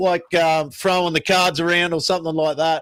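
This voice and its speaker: Fairly quick talk from a man with an Australian accent. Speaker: podcast co-host. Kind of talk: casual chat.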